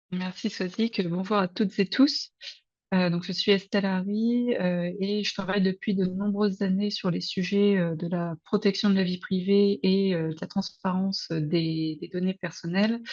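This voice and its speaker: Somewhat breathy, a woman of medium pitch talks at a fairly slow pace. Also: fairly even intonation. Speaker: researcher, PhD student. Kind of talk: webinar presentation.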